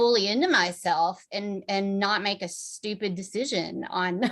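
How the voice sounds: A woman at a medium pitch, slow pace, fairly bright tone and fairly even intonation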